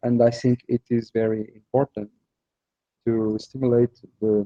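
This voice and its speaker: The intonation stays fairly even. The pace is fairly slow. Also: man. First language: Portuguese. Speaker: festival organizer and comics artist. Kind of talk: interview. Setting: festival venue, live stream. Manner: halting, searching for words.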